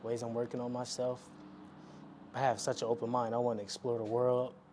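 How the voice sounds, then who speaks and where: Noticeable background noise is present. Over it, a man talks at a medium pitch. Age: 20s. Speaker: vlogger. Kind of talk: casual monologue.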